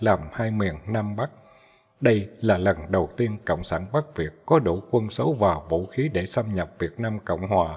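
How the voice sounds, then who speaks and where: A man's fairly low, somewhat breathy voice with ordinary pitch variation. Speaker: audiobook narrator. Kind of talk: literary audiobook reading of war history, formal written prose read aloud. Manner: formal, measured, steady narration; solemn, dramatic tone on battle details.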